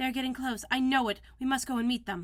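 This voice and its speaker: A woman talks at a very fast pace in a put-on character voice pitched high. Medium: read story.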